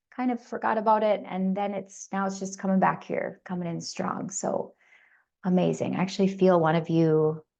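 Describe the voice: A woman speaks at a moderate pace and a fairly low pitch, with little pitch movement. Her slightly mellow voice is raspy, with vocal fry.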